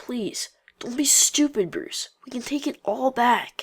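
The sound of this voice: A cartoonish character voice sounds female, pitched high. It moves at a fairly slow pace.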